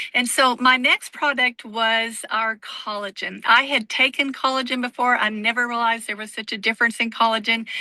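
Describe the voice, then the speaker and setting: Her bright, sharp tone sits at a fairly high pitch as the woman speaks at a moderate pace with monotone, flat intonation, in a dry, close sound with no echo. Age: 60s. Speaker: direct sales distributor sharing testimony. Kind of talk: testimony.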